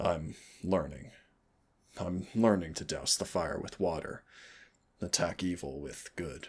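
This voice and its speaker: Putting on a character voice with a very deep, low pitch, a man talks at a fairly slow pace with long, frequent pauses. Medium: solo performance. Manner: soft, intimate, teasing.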